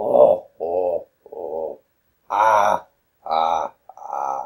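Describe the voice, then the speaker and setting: A man puts on a character voice. It comes out raspy. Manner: broken English.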